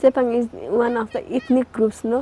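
In a Nepali accent, a woman speaks at a moderate pace. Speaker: agriculture development worker. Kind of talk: documentary interview.

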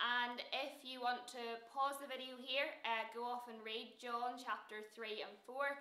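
A woman speaks at a high pitch, with audible echo from the room. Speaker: youth leader and presenter. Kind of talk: casual chat. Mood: friendly, upbeat. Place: studio.

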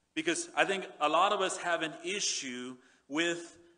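Behind the voice, the background is quiet. A man reads at a fairly slow pace, his pitch varying ordinarily. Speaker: pastor. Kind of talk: sermon. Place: church. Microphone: headset.

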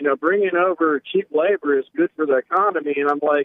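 There is an unremarkable speaking voice from a man with a fairly high pitch. He keeps a moderate pace with ordinary pitch variation. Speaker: caller. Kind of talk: call-in conversation. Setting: phone call.

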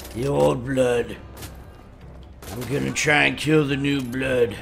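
Using a put-on character voice at a medium pitch, a man talks at a fairly slow pace with ordinary pitch variation, over sound effects and clear background noise. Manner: bombastic, theatrical.

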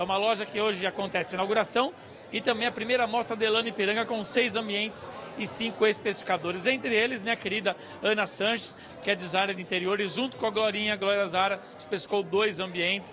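Over noticeable background noise, a man speaks in a raised, projected voice at a very fast pace. His pitch is high, with fairly even intonation. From Brazil. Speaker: field reporter. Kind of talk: live on-location report. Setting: store opening event, on location. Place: shop. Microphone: handheld.

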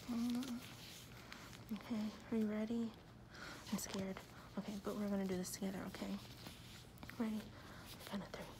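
With noticeable background noise, a woman speaks in a monotone with flat intonation. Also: fairly quick pace. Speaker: piercer or piercing vlogger. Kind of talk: casual vlog chat. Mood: relaxed, friendly. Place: home room. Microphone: phone near.

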